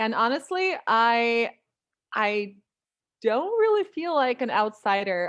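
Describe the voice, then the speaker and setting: A woman talks with a Russian accent against a quiet background. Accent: light Russian accent in American English. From Russia (Moscow), partly Europe; born in Ukraine. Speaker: writer and voice-over artist. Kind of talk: interview.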